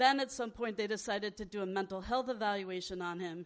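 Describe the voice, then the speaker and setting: A woman with an American accent speaks in an unremarkable speaking voice at a medium pitch, her intonation fairly even. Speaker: nonprofit director and activist. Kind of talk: speech to audience. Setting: stage with audience.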